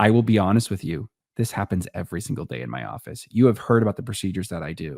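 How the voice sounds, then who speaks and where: A man speaks at a very fast pace with lively intonation, big swings in loudness and vocal fry. The recording is very clean, with a silent background and a dry, close sound with no echo. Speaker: orthopedic surgeon. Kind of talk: casual chat.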